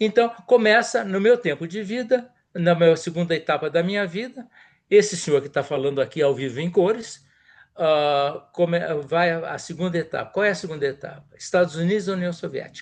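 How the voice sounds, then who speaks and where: A high male voice with lively intonation over a quiet background. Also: moderate pace. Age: 70s. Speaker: diplomat and professor. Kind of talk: interview. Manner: animated.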